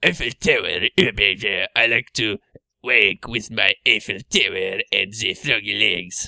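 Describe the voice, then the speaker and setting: A man's put-on character voice with a French accent, raspy and at medium pitch, at a fairly slow pace. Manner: mocking, exaggerated.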